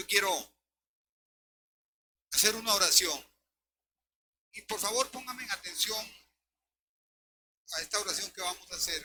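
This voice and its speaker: Using a high pitch with ordinary pitch variation and a bright, sharp tone, a man talks at a moderate pace, leaving long, frequent pauses amid big swings in loudness. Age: 70s. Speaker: pastor. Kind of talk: sermon.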